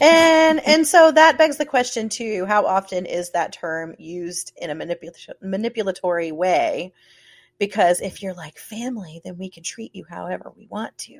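A woman with an American accent speaks at a moderate pace and medium pitch, with very wide pitch swings and big swings in loudness, in a dry, close sound with no echo on a very clean recording with a silent background. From US South. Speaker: podcast host. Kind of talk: casual chat.

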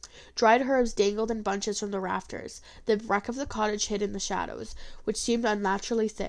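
Someone reads the text aloud in a natural voice.

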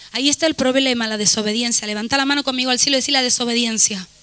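Her pitch is high for a woman. Noticeable background noise runs underneath. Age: 40s. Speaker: pastor. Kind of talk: sermon. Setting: church. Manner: animated.

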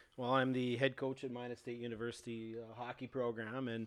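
The delivery is a flat monotone at a very fast pace. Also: man. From Canada, Saskatoon. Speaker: hockey coach. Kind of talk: casual chat.

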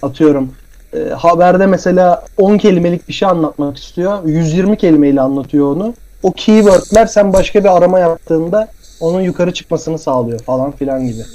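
High-pitched for a man, his voice has a dark, mellow tone, ordinary pitch variation and a moderate pace. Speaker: podcast host. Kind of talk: casual chat. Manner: laughing often.

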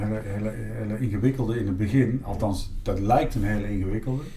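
Audible room echo and noticeable background noise run through the clip. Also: man. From Netherlands, Eindhoven (North Brabant). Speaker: municipal director. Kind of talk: interview. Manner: halting, many fillers and repetitions.

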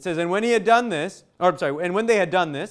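Loud and animated, a man speaks with very wide pitch swings. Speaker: preacher. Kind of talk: sermon.

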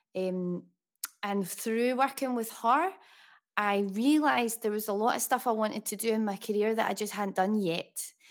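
A woman with a Glaswegian accent speaks at a fairly high pitch with ordinary pitch variation. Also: moderate pace, very clean recording, silent background. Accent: Glaswegian Scottish. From Scotland, Glasgow. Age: 30s. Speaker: music producer and singer-songwriter. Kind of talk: interview.

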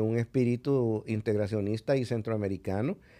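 The man has a dark, mellow tone and a medium pitch. His intonation is fairly even. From El Salvador. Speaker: ambassador. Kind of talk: interview conversation. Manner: hesitant, many filler sounds.

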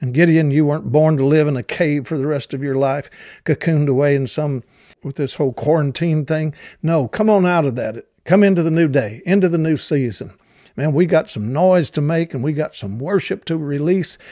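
In a Southern US accent, a man talks at a fairly quick pace with a fairly high pitch and ordinary pitch variation. His tone is dark and mellow, and the recording is very clean with a silent background. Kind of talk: devotional teaching. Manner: hesitant, many fillers.

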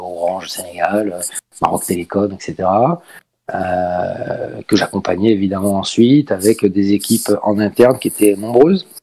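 A dark, mellow tone marks this fairly slow delivery. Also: man. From Paris, France. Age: 40s. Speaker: esports team president. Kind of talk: interview.

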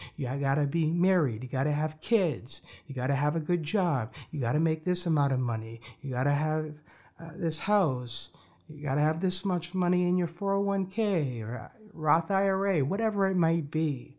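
A man with a normal speaking voice talks at a moderate pace. His pitch is fairly high, with ordinary variation. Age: 20s. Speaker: podcast host. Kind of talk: motivational monologue.

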